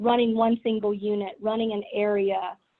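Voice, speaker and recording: The speaker has a strong Southern US accent and a monotone, flat intonation. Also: woman. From US South. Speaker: business executive. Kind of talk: keynote talk.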